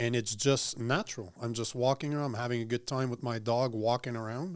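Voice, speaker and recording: A man with a French Canadian accent speaks at a fairly quick pace. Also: medium pitch for a man, fairly even intonation. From Quebec, Montreal. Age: 40s. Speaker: political commentator. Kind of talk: casual chat. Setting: studio.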